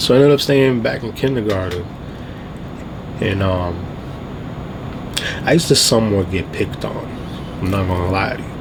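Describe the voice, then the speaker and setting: A fairly low-pitched man speaks at a fairly quick pace with ordinary pitch variation and long, frequent pauses. Audible room echo and noticeable background noise accompany him. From Trinidad, moved to US as a child. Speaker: vlogger. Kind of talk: casual storytelling vlog. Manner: casual, filler-heavy.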